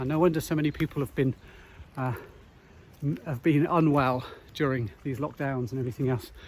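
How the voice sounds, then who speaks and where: Long, frequent pauses break up speech at a moderate pace with ordinary pitch variation, on a very clean recording with a silent background. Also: man. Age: 50s. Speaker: nature connection guide and wellbeing author. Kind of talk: walking vlog monologue. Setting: outdoors. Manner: reflective, with many fillers.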